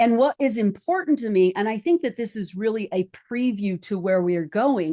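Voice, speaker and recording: A woman's fairly high voice, an ordinary speaking voice, with lively intonation at a moderate pace in a dry, close sound with no echo. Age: 50s. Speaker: psychologist and life coach podcast host. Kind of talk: round table podcast discussion. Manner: conversational with frequent fillers.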